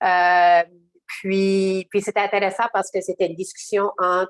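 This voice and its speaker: The fairly low-pitched voice of a woman comes through with a dry, close sound with no echo. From southeastern New Brunswick, Canada (Acadian). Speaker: social worker. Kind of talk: webinar panel discussion. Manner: halting, many hesitations and repetitions.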